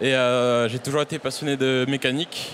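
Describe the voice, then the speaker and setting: Moderately paced man's voice at medium pitch, amid noticeable background noise. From Réunion. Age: 20s. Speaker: bus maintenance apprentice. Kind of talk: interview. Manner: hesitant, many fillers.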